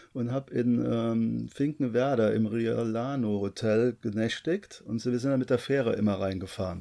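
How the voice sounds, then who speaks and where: The man's pitch is medium, with ordinary variation and a dark, mellow tone. He speaks at a moderate pace on a very clean recording with a silent background. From Koblenz, Germany. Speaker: travel vlogger. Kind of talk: casual chat.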